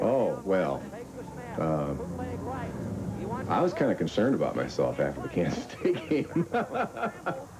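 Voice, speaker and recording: There is noticeable background noise as a man talks at a very slow pace. His loudness stays very even. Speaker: radio football announcer being interviewed. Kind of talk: interview answer. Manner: reflective, candid.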